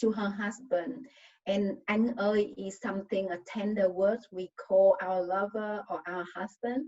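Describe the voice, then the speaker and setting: With a Vietnamese accent, a woman talks at a very slow pace and medium pitch, her intonation fairly even. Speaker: novelist. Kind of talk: panel discussion answer. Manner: halting.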